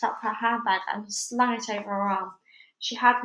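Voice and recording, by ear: Reading aloud in a natural voice, with fairly even intonation, against a quiet background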